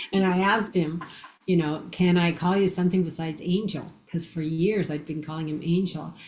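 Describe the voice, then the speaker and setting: In a room with audible echo, a woman speaks fairly quickly and somewhat breathily, her fairly low voice monotone and flat. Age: 60s. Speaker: near-death experiencer and author. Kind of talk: interview storytelling.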